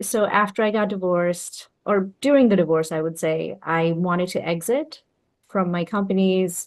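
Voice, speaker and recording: A woman talks with a Bengali accent at a moderate pace. Her medium pitch shows ordinary variation. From Bangladesh. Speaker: entrepreneur and business consultant. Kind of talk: interview.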